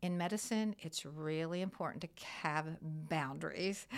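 A woman with an American accent and ordinary pitch variation, in a very clean recording with a silent background. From US Midwest. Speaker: nurse practitioner. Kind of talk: casual chat. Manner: halting.

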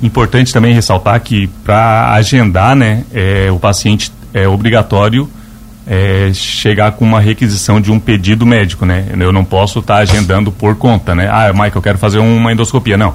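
In a plain, everyday voice, a man speaks at a moderate pace with a fairly low pitch, fairly even intonation and very even loudness. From Lauro Müller, Santa Catarina, southern Brazil. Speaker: nurse and medical supply business owner. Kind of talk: radio interview. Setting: radio studio.

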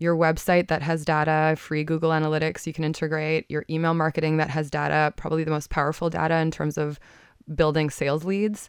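A woman with a fairly low pitch talks at a fairly quick pace in an unremarkable speaking voice. The recording is very clean, with a silent background. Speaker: marketing consultant. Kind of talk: radio interview. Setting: studio.

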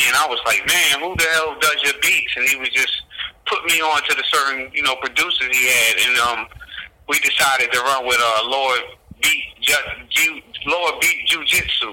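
Over noticeable background noise, a man with an American accent keeps his loudness very even. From New Jersey. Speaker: rapper and record label founder. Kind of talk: interview conversation.

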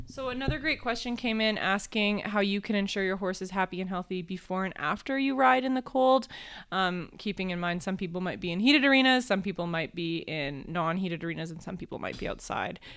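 Using an ordinary speaking voice at medium pitch, a woman talks at a fairly quick pace with lively intonation and hardly any pauses. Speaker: podcast host. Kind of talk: casual chat.

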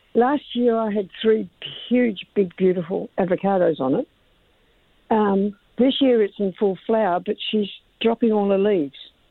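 With an Australian accent, a woman speaks at a moderate pace and a medium pitch, with ordinary pitch variation. Her pauses are long and frequent. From Armadale, Western Australia. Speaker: caller. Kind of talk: call-in question. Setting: phone call.

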